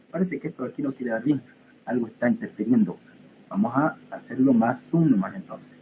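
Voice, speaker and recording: Somewhat breathy, a man talks at a fairly quick pace. His medium pitch has lively intonation. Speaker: pathology teaching assistant. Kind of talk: lecture. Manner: animated.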